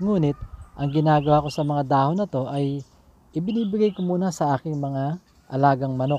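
With a dry sound and no echo, a man talks at a fairly quick pace and fairly high pitch in an unremarkable speaking voice. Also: ordinary pitch variation. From Philippines. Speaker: gardening vlogger, overseas Filipino worker; home gardener vlogger. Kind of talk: casual tutorial vlog; casual vlog tutorial. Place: garden. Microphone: phone near.

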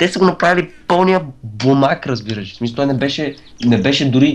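A man speaks with lively intonation. His pace is fairly slow. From Bulgaria. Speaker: gamer. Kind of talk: casual chat.

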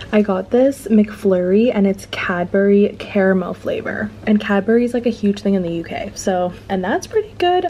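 A woman speaks with hardly any pauses and ordinary pitch variation while light background noise plays behind her. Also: moderate pace. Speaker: travel vlogger. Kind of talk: casual vlog chat. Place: home room. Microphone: phone near.

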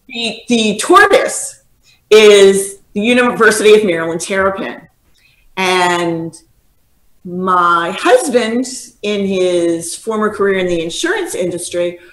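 Speaking at a very slow pace, a woman uses ordinary pitch variation amid audible room echo. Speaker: guest. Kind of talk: interview answer. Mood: amused storytelling. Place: home room. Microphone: video call.

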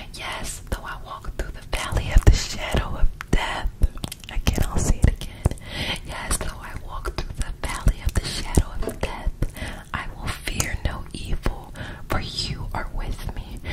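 A woman whispers in a calm tone at a fairly slow pace. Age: 20s. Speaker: ASMR creator. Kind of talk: ASMR Bible reading. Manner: soft, calm, relaxing. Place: home room. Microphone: studio mic.

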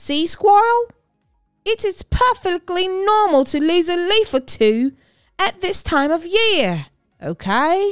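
A woman's put-on character voice at an extremely high pitch, with big pitch swings and a slow pace, over faint music in the background.

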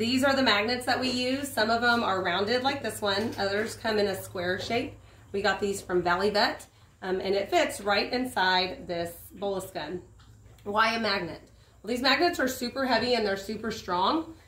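Audible room echo surrounds the voice. It moves at a moderate pace with ordinary pitch variation. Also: woman. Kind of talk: tutorial. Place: open country. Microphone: camera far.

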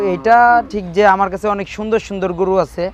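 Crowd noise fills the space behind. A man talks over it. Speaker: cattle trader. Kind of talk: interview.

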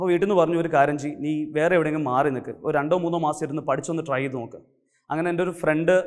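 A man speaks in a normal speaking voice, fairly high-pitched, with fairly even intonation. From Kerala, Kannur district. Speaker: chartered accountant and teacher. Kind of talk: motivational talk.

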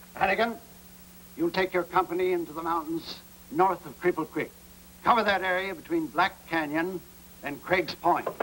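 A gruff, put-on character voice moves at a moderate pace with long, frequent pauses. Background noise is clearly heard. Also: man, high pitch for a man. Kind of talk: 1950s TV western acting. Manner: gruff, commanding, impatient.

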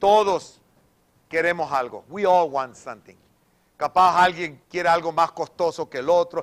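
With a quiet background, a man talks in an animated tone at a fairly slow pace and a high pitch, leaving long, frequent pauses. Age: 60s. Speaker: pastor. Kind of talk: sermon. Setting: church. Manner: repetitive code-switching. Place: church.

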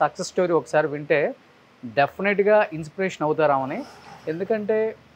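High male speaking pitch, varying in an ordinary way. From Andhra Pradesh, Guntur; Andhra Pradesh. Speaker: video interviewer. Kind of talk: casual interview. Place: garage. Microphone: lapel.

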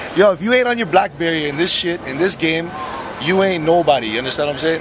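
A man talks at a very fast pace. The sound is dry with no echo, and background noise is noticeable. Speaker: vlogger holding the camera. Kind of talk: casual vlog chat. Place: cafe. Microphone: phone near.

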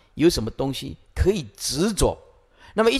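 Vocal fry runs through speech at a moderate pace over a quiet background. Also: man. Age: 50s. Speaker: Buddhist monk teacher. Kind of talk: dharma lecture. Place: hall. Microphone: podium.

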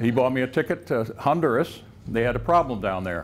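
A man speaks at a moderate pace with vocal fry. Light background noise sits behind him. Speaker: professor giving a faculty lecture. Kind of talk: lecture. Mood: humorous, relaxed. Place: classroom.

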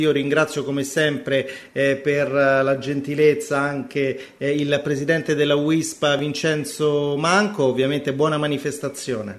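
Pitched fairly high, this man's ordinary speaking voice keeps to a moderate pace. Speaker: radio host. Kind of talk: radio show. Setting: studio.

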